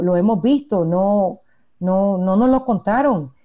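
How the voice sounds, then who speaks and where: At a fairly slow pace, a woman with medium pitch speaks in a dark, mellow tone with lively intonation, in a very clean recording with a silent background. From Nicaragua. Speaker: journalist. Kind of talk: casual interview. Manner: halting.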